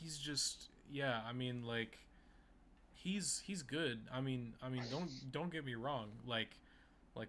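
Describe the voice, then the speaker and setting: A man talks at a very slow pace, leaving long, frequent pauses. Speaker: podcast co-host. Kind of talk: casual chat. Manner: stuttering, halting.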